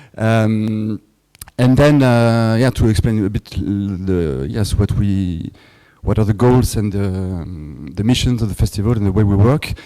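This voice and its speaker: This man speaks with a dark, mellow tone, a fairly low pitch and a French accent. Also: ordinary pitch variation, fairly slow pace. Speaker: film festival director. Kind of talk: lecture. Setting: workshop with audience. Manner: halting.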